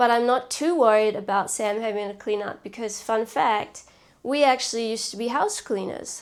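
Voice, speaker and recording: Speaking with a New Zealand accent, a woman keeps a moderate pace, a fairly high pitch and fairly even intonation. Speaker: vlogger. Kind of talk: casual vlog talk.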